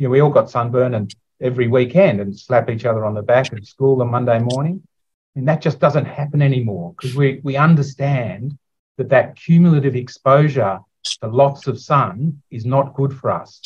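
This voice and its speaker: A somewhat breathy voice with an Australian accent, at a moderate pace and with ordinary pitch variation. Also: man, medium pitch for a man. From Australia, Sydney. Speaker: neuropathologist. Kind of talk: interview.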